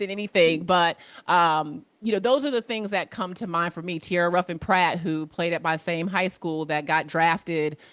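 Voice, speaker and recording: A woman with an American accent and fairly low pitch uses a normal speaking voice with ordinary pitch variation and hardly any pauses, in a very clean recording with a silent background. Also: moderate pace. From US Mid-Atlantic, Alexandria, Virginia. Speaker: former college basketball player, sports professional. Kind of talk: class Q&A over video.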